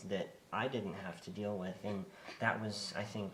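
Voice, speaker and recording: A soft-spoken man at a fairly low pitch and fairly slow pace, with audible room echo and noticeable background noise. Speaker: parent with the condition. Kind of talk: interview.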